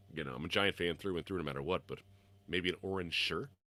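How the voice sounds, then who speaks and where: Vocal fry runs through this man's very deep, low voice. His pitch varies in an ordinary way. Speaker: sports podcast host. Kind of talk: live stream chat. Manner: halting.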